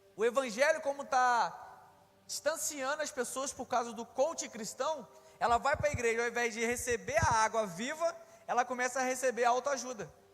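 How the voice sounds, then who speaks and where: Speaking at a moderate pace in an animated tone, a man with an extremely high pitch and ordinary pitch variation is heard over noticeable background noise. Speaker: preacher. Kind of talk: sermon.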